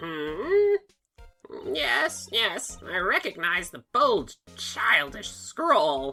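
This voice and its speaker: Over faint music in the background, a woman uses a put-on character voice at a very slow pace. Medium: fan dub. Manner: bossy, condescending.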